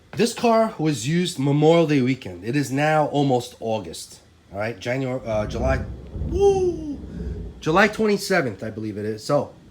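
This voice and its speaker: A man with a fairly high pitch talks at a moderate pace with very wide pitch swings, over noticeable background noise and audible room echo. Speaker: RC car hobbyist YouTuber. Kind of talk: casual tutorial. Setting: in a garage.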